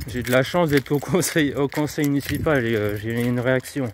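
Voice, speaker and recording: A man at medium pitch and moderate pace, fairly even in intonation, with noticeable background noise. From France, Moselle (north-east). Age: 30s. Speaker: local councillor and vlogger. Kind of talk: casual live vlog answering viewer questions. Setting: outdoors, walking street delivering flyers. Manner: hesitant, many fillers.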